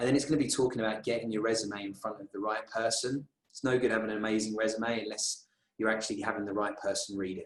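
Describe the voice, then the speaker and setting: A man's medium-pitched voice, very fast and monotone, with flat intonation. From London, England. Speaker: recruiter and conference speaker. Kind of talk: conference talk.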